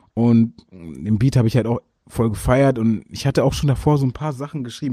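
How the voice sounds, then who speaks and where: A man talks at a very fast pace at a medium pitch with ordinary pitch variation. His tone is dark and mellow, and the sound is dry and close with no echo. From Germany, Berlin. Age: young. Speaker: rapper. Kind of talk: interview.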